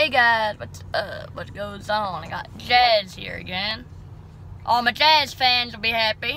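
Over light background noise, a woman speaks at a fairly slow pace in a bright, sharp tone, with ordinary pitch variation, big swings in loudness and a dry sound with no echo. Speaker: vlogger. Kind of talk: casual vlog chat. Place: car. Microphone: phone near.

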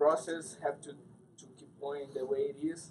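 A man's somewhat breathy voice at a moderate pace, fairly even in intonation, with light background noise. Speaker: MMA fighter. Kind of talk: post-fight interview. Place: hall. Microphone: handheld.

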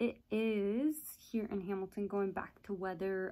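In a quiet setting, a woman speaks at a fairly slow pace. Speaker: vlogger. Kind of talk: casual vlog chat. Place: home room. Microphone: phone near.

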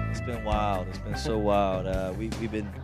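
A man with an American accent talks at a moderate pace, the sound dry with no echo and clear music in the background. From Southern US (Georgia). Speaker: country singer-songwriter. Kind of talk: interview answer. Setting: radio interview. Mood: relaxed, joking. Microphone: handheld.

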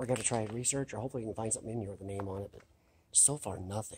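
A very fast male speaker over light background noise. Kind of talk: casual vlog commentary. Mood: excited, amazed. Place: hall. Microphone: phone near.

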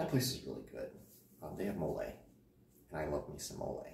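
A man's dark, mellow voice with vocal fry, at a moderate pace, in audible room echo. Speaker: vlogger. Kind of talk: casual vlog chat. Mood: joking, animated. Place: home room. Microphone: camera far.

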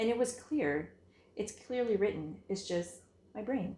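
A woman speaks at a fairly slow pace with a somewhat breathy voice. Audible room echo surrounds her. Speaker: knitting podcast host. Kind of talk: casual chat. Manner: hesitant, many fillers. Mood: warm, enthusiastic. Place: home room. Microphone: phone near.

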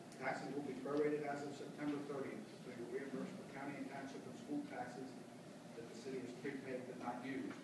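Amid loud background noise and audible room echo, a man talks at a fairly quick pace. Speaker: auctioneer. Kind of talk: interview answer explaining a property sale process. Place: meeting room. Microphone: camera far.

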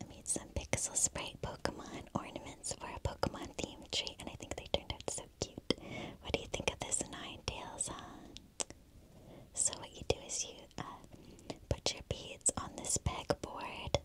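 Whispering at a moderate pace. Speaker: ASMR creator. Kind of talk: gentle tour commentary. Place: home room.

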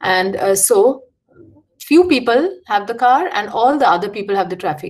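A woman speaks at a moderate pace with a fairly high pitch and very wide pitch swings. The background is quiet. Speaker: architect and educator; educator. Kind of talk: lecture. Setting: video call. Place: home room. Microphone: video call.

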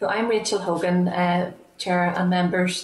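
A woman's voice carries audible room echo. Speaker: remote witness. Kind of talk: formal opening statement. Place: home room. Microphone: earbuds.

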